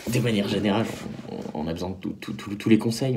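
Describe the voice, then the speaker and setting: This man's pitch is fairly low and his pace very fast. Noticeable background noise runs underneath. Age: 20s. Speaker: drama student and actor. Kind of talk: video pitch for production meeting. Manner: halting, repeats words.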